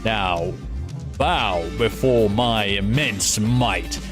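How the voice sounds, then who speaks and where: A man's put-on character voice, fairly low in pitch and very slow, over loud music in the background. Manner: boastful, pompous.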